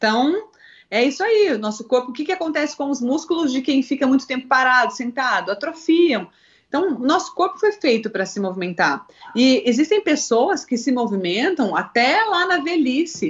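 A woman speaks high for a woman with very wide pitch swings. Her pace is moderate. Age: 30s. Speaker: fitness instructor. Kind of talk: live stream interview.

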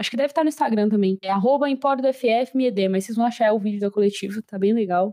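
A woman with a fairly high pitch and a dark, mellow tone talks at a very fast pace with ordinary pitch variation, the sound dry and close with no echo. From Brazil. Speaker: podcast host. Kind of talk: casual chat. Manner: animated.

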